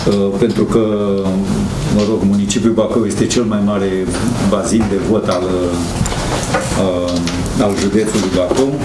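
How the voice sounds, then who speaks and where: Loud background noise surrounds a man speaking. His pace is very slow, broken by long, frequent pauses. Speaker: local party leader. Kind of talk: press conference moderation. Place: meeting room. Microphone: handheld.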